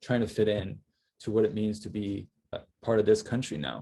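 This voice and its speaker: With a Cantonese accent, a man talks in a dark, mellow tone. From Hong Kong, then Boston from age eight. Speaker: panel speaker. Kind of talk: panel discussion. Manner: hesitant, with fillers.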